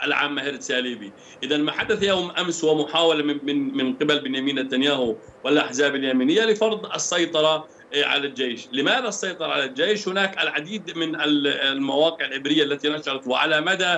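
Light background noise sits behind a man speaking at a moderate pace with hardly any pauses. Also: ordinary pitch variation. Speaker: remote guest. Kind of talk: interview answer. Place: home room.

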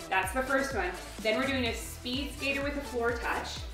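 Clear music plays in the background as a high-pitched woman talks at a moderate pace with audible room echo. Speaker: fitness instructor. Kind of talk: workout tutorial. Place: home room.

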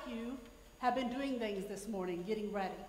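A woman talks with ordinary pitch variation, and audible room echo surrounds her voice. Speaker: pastor. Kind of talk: church announcements. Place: church. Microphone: podium.

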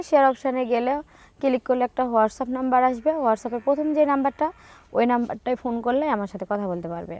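Recorded very cleanly with a silent background and a dry, close sound with no echo, a woman speaks at a high pitch with ordinary pitch variation. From Bangladesh, Kushtia. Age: 20s. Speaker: NGO worker seeking a spouse. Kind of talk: interview.

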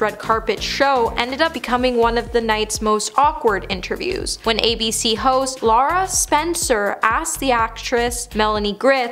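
Speaking at a moderate pace, a woman uses a high pitch while faint music plays in the background. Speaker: online show host. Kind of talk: scripted entertainment narration. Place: studio.

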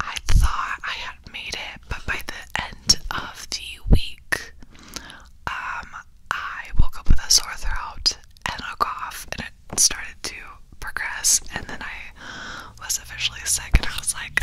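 A soft-spoken woman whispering very slowly, with big swings in loudness and light background noise. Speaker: ASMR creator. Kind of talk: casual vlog chat, soft-spoken storytelling. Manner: soft intimate whisper into mic. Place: home room. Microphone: studio mic.

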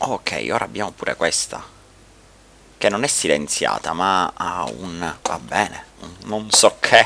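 A man with a very deep, low pitch talks at a very slow pace, his intonation lively and his loudness swinging widely. Light background noise is audible. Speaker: gaming YouTuber. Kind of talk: let's play commentary. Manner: casual and chatty. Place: home room. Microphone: headset.

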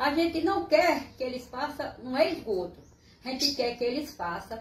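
Room echo is audible as a woman speaks. Her pitch is high, with ordinary variation. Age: 80s+. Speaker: resident making appeal. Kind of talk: resident's appeal to camera. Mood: worried, pleading. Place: home room. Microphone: phone near.

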